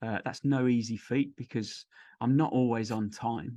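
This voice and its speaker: A man with a Birmingham accent talks at a fairly slow pace, at a medium pitch, with fairly even intonation. The sound is dry and close with no echo, and the background is quiet. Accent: mild posh Brummie. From Birmingham, English Midlands. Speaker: podcast host. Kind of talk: casual interview chat.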